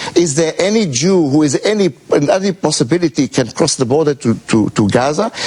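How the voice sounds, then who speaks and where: The speaker has lively intonation and a fairly quick pace. Loudness stays very even over noticeable background noise. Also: man, fairly high pitch for a man. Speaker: law professor. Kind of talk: heated debate. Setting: TV studio. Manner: halting with many uhs.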